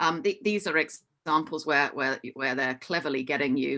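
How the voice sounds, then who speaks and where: A woman's very deep, low-pitched voice in a Hong Kong accent, bright and sharp in tone, with ordinary pitch variation. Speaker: hospitality business executive. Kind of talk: online forum presentation. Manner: frequent fillers, halting.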